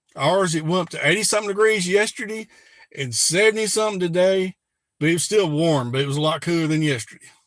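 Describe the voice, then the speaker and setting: A high-pitched man in a Southern Alabama accent, at a very fast pace with ordinary pitch variation. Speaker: prepper YouTuber. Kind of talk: live stream chat. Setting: live stream.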